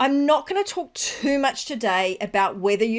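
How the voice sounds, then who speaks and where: In a very clean recording with a silent background, a woman with an Australian accent speaks at a moderate pace with lively intonation. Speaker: business podcast host. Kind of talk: solo podcast monologue.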